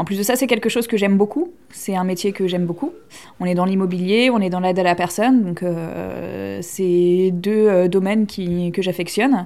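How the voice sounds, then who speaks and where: On a very clean recording with a silent background, a woman with a medium-pitched, dark, mellow voice speaks at a moderate pace with fairly even intonation. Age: 20s. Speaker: aspiring entrepreneur. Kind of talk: interview testimony.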